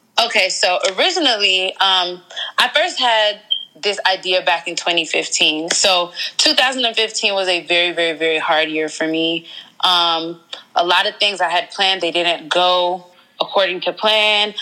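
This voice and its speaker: Fairly slow speech in an American accent, with ordinary pitch variation and noticeable background noise. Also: woman, medium pitch for a woman. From Georgia, US South. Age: 20s. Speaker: blogger and entrepreneur. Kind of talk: interview.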